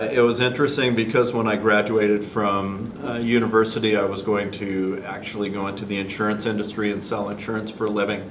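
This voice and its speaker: A man with a General American accent and a fairly low pitch talks at a fairly quick pace with hardly any pauses and a monotone, flat intonation, amid noticeable background noise and audible room echo. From US Pacific Northwest, Washington. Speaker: high school teacher. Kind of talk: interview self-introduction.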